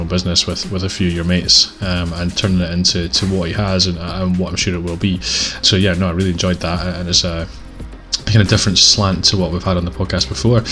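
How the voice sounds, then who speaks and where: Over music in the background, a man talks at a very fast pace in a very deep, low pitch with monotone, flat intonation. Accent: Scottish. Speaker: podcast host.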